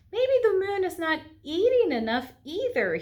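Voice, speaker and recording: A woman puts on a squeaky character voice at an extremely high pitch. Her pitch swings very widely at a moderate pace. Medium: read story.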